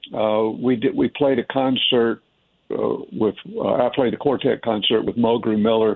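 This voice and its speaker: Speaking in an American accent, a man keeps a fairly slow pace and a medium pitch with fairly even intonation. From Tennessee, US South. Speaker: jazz saxophonist. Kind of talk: radio interview. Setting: phone call.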